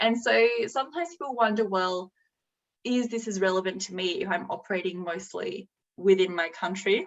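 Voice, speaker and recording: A woman with an Australian accent speaks fairly quickly at a medium pitch, her pitch varying in an ordinary way. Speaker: executive director of a mediation institute. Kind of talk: slide presentation.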